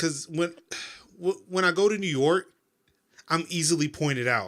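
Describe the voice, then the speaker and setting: A man with an American accent uses ordinary pitch variation and takes long, frequent pauses. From US South. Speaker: podcast co-host. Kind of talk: casual chat.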